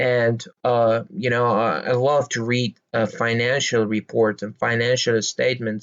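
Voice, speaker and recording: This is a man talking fairly slowly. His pitch sits in the medium range. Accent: Persian. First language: Persian. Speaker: stock market commentator. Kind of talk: casual explainer monologue. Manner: halting, many fillers.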